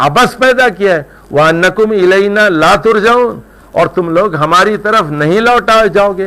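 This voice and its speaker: High male speech marked by very wide pitch swings. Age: 60s. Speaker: Quran commentator. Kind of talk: religious lecture.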